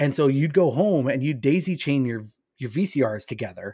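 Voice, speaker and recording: In a normal speaking voice, a man speaks at a fairly quick pace with ordinary pitch variation. His recording is very clean, the background silent. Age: 30s. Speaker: author and games writer. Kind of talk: casual chat.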